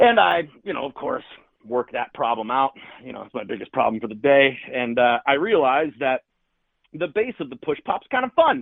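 In an American accent, the speaker keeps a moderate pace while the pitch swings very widely and the loudness rises and falls sharply. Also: man, fairly high pitch for a man. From Chicago area, US. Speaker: real estate agent. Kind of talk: storytelling in casual interview.

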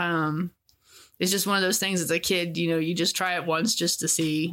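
At a moderate pace, a woman talks in a normal speaking voice with fairly low pitch and fairly even intonation. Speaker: host's wife. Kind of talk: personal storytelling.

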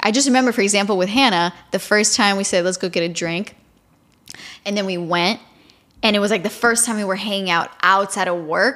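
A woman's animated tone at a medium pitch and a fairly quick pace. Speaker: podcast co-host and college student. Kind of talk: casual chat. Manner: animated, casual.

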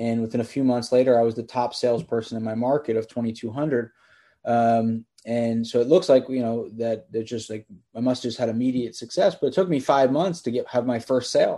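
Against a quiet background, a man with an American accent speaks at a fairly quick pace, his tone dark and mellow and his pitch medium. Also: fairly even intonation. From Pennsylvania, US. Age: 30s. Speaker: real estate entrepreneur. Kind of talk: interview.

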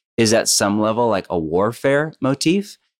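This man speaks with a West Coast American accent. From US West Coast, Bay Area. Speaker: pastor and author. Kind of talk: interview.

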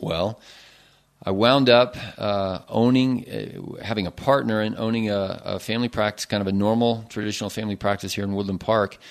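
Keeping his intonation fairly even, a man speaks fairly quickly in a fairly low voice. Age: 30s. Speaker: physician. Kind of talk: casual interview. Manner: hesitant, many fillers.

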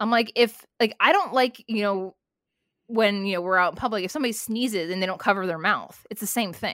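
A woman's ordinary speaking voice at medium pitch, with ordinary pitch variation and a fairly quick pace. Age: 40s. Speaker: wrestling podcaster and former flight attendant. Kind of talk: casual chat.

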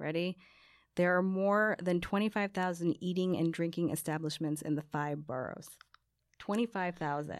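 With an American accent, a woman has a plain, everyday voice, with a fairly low pitch, ordinary pitch variation and a moderate pace, on a very clean recording with a silent background. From US Northeast, New Jersey. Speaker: podcast co-host. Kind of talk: casual chat.

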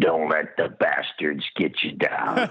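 Speaking at a fairly slow pace, a man uses a raspy, put-on character voice. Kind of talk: gravelly.

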